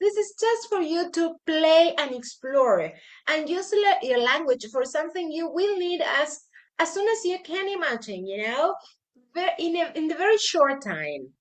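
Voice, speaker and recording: A woman speaks at a fairly slow pace in a Spanish accent, her high pitch moving in very wide swings. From Argentina. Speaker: English teacher. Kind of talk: tutorial. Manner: halting.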